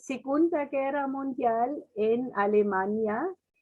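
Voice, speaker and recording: A woman with a German accent at a very slow pace, her high pitch showing ordinary variation. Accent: German accent in Spanish, clearly noticeable. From Germany. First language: German (speaking Spanish). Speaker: missionary. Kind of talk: testimony.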